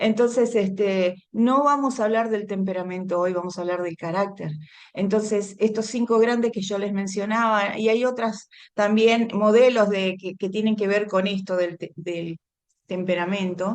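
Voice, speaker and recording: A woman speaks at a fairly slow pace with a medium pitch and fairly even intonation. The background is quiet. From Argentina. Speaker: women's ministry speaker. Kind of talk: Bible teaching talk.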